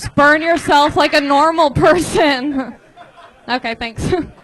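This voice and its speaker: High-pitched woman's voice over crowd noise in the background. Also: fairly slow pace. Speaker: stand-up comedian workshopping a bit. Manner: naturally sarcastic tone, not monotone.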